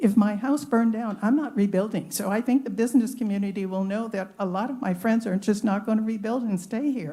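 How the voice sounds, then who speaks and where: Quick-paced and somewhat breathy, a woman speaks with a dark, mellow tone at a fairly high pitch. Her pitch varies in an ordinary way. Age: 80s+. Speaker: public commenter. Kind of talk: public comment at a government meeting.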